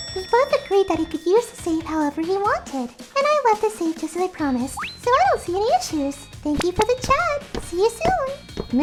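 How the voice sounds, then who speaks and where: Doing a put-on character voice, a woman squeaks at an extremely high pitch with very wide pitch swings and a fairly quick pace, amid loud background noise. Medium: fan dub. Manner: polite, reserved.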